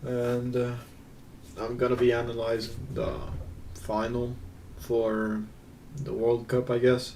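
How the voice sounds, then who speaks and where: The voice has a dark, mellow tone and monotone, flat intonation at a very slow pace with long, frequent pauses. Audible room echo fills the recording. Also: man, medium pitch for a man. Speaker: gaming video creator. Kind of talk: gameplay analysis commentary. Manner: casual, hesitant with fillers.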